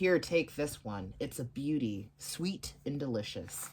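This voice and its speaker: Using a put-on character voice, a man sits at a medium pitch. His delivery is fairly slow. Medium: read story. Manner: sly, false kindness.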